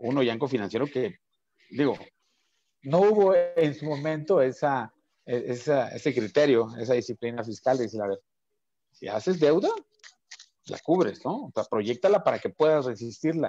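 A man speaks at a moderate pace in a fairly high pitch with a dark, mellow tone and lively intonation. The sound is dry with no echo against a quiet background, and he leaves long, frequent pauses. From Mexico, Chiapas. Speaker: talk show host; program host. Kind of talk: interview. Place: home room. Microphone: video call.

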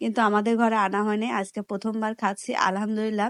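This woman's voice sits fairly high. She delivers her words with monotone, flat intonation. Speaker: lifestyle vlogger. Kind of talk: vlog narration.

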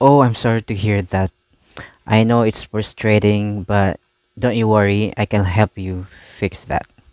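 Fairly low male voice at a fairly slow pace, fairly even in intonation, with a dry sound, no echo and a quiet background. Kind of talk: scripted skit dialogue. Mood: polite, calm service tone. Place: home room. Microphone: headset.

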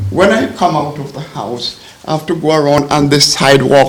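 A man's fairly high voice amid noticeable background noise and audible room echo. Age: 80s+. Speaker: resident speaking at public comment. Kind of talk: public comment at village board meeting. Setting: village board meeting room. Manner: halting.

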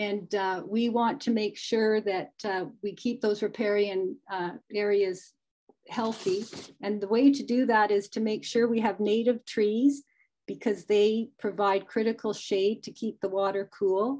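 A fairly slow, fairly even delivery in a Canadian accent over a quiet background. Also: woman, fairly high pitch for a woman. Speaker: volunteer stream conservation presenter; presenter. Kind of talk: webinar presentation. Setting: video call. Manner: hesitant, many fillers. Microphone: unstable Wi-Fi connection; video call.

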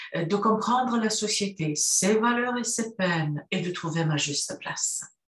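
Her fairly high voice moves through very wide pitch swings at a fairly slow pace. The woman's speech carries audible room echo. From Romania, Cluj (Transylvania). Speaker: university professor. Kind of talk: prepared talk for a university course. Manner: formal. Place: home room. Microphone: webcam.

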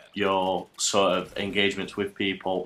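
Over noticeable background noise, a man speaks in a fairly low pitch. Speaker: gaming commentator. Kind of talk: gameplay commentary. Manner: casual.

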